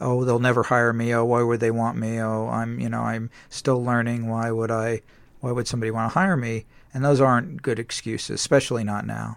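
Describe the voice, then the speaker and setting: Recorded very cleanly against a silent background, the man has a normal speaking voice at medium pitch and talks at a fairly quick pace with fairly even intonation. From US West Coast, San Diego. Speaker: video game designer and author. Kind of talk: interview.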